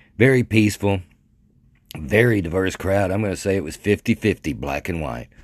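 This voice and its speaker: In a dry, close sound with no echo, a man with an American accent speaks at a fairly quick pace, his very deep, low pitch marked by vocal fry. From Arkansas (Mandeville, near Texarkana). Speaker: podcaster. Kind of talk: casual monologue. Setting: bedroom. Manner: halting, many fillers and restarts.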